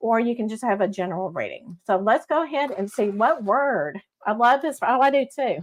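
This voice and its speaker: Speaking with a Texas accent, a woman sounds animated, with a fairly high pitch and lively intonation. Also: moderate pace. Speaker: psychic medium show host. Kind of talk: live psychic reading stream. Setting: live stream on Facebook and YouTube. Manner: animated, chatty.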